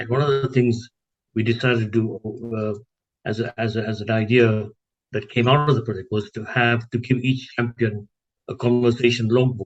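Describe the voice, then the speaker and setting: A man talks in a somewhat breathy voice with monotone, flat intonation. He leaves long, frequent pauses. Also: medium pitch for a man, moderate pace, dry, close sound with no echo. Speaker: health project coordinator. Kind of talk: interview answer. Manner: hesitant with filler words.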